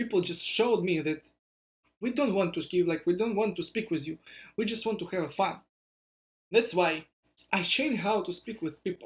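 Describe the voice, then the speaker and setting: A man's high voice in a Russian accent, at a moderate pace with ordinary pitch variation and long, frequent pauses. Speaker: startup founder vlogger. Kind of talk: vlog monologue. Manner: halting.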